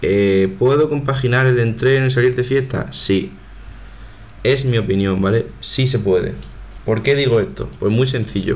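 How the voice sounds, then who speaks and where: The speech moves at a fairly slow pace with ordinary pitch variation, and the room echo is audible. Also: man, medium pitch for a man. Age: 20s. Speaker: podcast host, university student. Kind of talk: casual solo monologue. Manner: informal, conversational.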